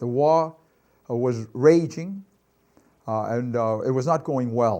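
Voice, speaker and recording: A man's fairly high, dark, mellow voice in a Boston accent, at a fairly slow pace with ordinary pitch variation. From Boston, Massachusetts. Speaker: war veteran. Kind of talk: testimony.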